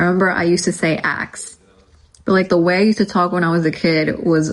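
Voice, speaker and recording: Fairly even intonation in an American accent at a moderate pace. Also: woman. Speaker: livestreamer. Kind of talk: casual chat. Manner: casual, many fillers.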